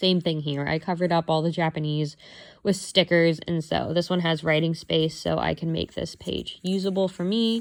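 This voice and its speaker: A woman in a normal speaking voice, fairly low in pitch, with fairly even intonation, a moderate pace and a very clean recording, silent background. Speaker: planner YouTuber. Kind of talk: casual flip-through vlog.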